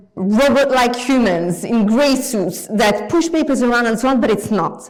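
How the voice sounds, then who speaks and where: A woman with a French accent speaks at a moderate pace in a high pitch with lively intonation and audible room echo. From France. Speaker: guest lecturer. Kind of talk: lecture. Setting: lecture hall with audience.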